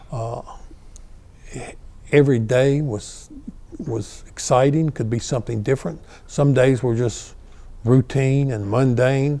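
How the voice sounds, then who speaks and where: Very slow speech from a man with a North Carolina accent, medium pitch, a dark, mellow tone, fairly even intonation and long, frequent pauses. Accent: Southern US (North Carolina). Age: 70s. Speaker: retired fire battalion chief. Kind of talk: oral history interview. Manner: halting, many fillers and repeats.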